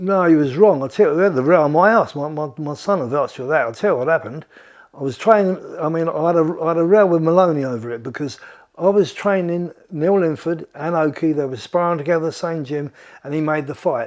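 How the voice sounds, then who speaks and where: At a very fast pace, a man talks with a fairly high pitch and ordinary pitch variation. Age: 70s. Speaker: boxing trainer. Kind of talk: interview storytelling. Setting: at his home.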